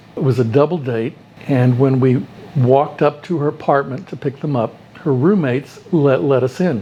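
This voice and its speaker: Over noticeable background noise, a man with an American accent talks at a moderate pace in a fairly high pitch with ordinary pitch variation. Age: 70s. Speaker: retired pediatrician. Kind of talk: personal storytelling interview.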